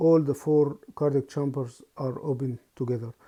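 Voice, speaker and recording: Against a quiet background, a man with a non-native accent and a dark, mellow tone speaks at a fairly high pitch and a moderate pace with fairly even intonation. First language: not English. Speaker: anaesthetist lecturer. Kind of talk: lecture. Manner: halting.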